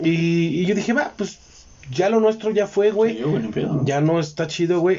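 A man speaks at a high pitch and a moderate pace with lively intonation. Noticeable background noise can be heard. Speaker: podcast host. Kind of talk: casual chat.

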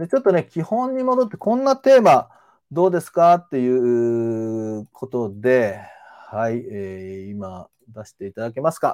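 A man's lively, fairly slowly paced voice, dry and close with no echo. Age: 50s. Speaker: manual therapist and sports trainer. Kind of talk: live-stream lecture. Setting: live stream. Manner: frequent filler hesitations.

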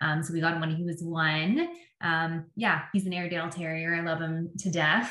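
In a Canadian accent, a woman with an ordinary speaking voice and fairly low pitch speaks at a moderate pace. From Canada, Windsor, Ontario. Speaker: public relations agency founder. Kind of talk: interview.

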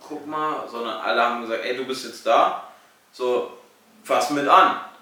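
Audible room echo and noticeable background noise surround the recording. A man talks at a fairly slow pace with fairly even intonation. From Lower Saxony, Germany (Salzgitter). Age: 20s. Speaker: apprentice at event company, podcast co-host. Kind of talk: casual chat. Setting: studio with camera.

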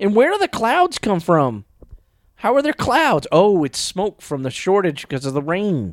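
Animated and high-pitched, a man swings his pitch very widely at a fairly slow pace, the sound dry and close with no echo. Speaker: podcast co-host. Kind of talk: movie commentary chat. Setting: home recording around a coffee table. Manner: loud; animated, laughs often.

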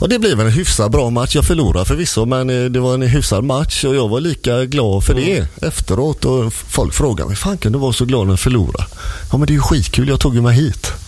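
Amid noticeable background noise, a man at medium pitch talks at a fairly quick pace with lively intonation, very even loudness and hardly any pauses. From Gothenburg, western Sweden. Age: 50s. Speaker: martial arts instructor. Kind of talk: casual chat. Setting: radio studio.

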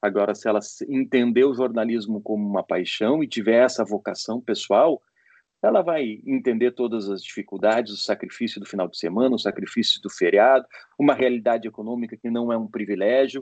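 In a plain, everyday voice, a man speaks at medium pitch and a fairly quick pace, with a dry, close sound with no echo. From Porto Alegre, southern Brazil. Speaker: sports journalist and lawyer. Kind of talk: interview. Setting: video call.

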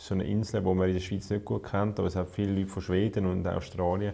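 A man's fairly low, somewhat breathy voice with a dark, mellow tone and a Swiss German accent. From Switzerland, canton of Zurich. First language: Swiss German (speaking German). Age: 20s. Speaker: politician. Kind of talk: casual conversation.

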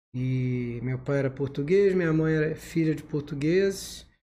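A man speaks at a fairly slow pace with lively intonation, a fairly high pitch and a dark, mellow tone against a quiet background. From Rio de Janeiro city, Brazil. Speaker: ENT doctor and medical professor. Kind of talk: interview, medical explanation.

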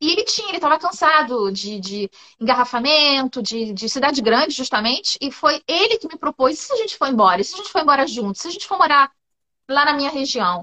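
A raised, projected voice with a bright, sharp tone, big swings in loudness and a fairly quick pace, dry and close with no echo. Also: woman. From Brazil, Rio de Janeiro. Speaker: public servant at a university, Brazilian expat. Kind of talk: casual interview in a live stream. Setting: live video stream.

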